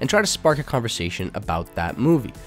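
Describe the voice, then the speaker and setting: Music plays in the background as a man talks very fast. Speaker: film YouTuber. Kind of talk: list video narration to camera.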